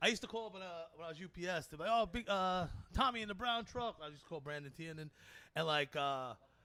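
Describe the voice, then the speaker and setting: Talking very fast in a bright, sharp, animated tone, a man uses a high pitch, lively intonation and big swings in loudness. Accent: Brooklyn. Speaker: comedian. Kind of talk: casual chat.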